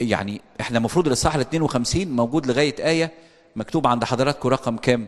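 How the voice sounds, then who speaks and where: Ordinary pitch variation and a fairly quick pace from a male speaker. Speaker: priest. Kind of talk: bible study lecture.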